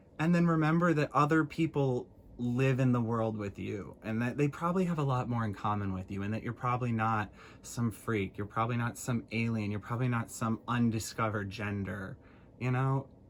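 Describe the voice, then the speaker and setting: At a fairly quick pace, a man with an American accent talks at medium pitch with ordinary pitch variation. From US Midwest, Illinois. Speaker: vlogger. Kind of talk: casual monologue. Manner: animated.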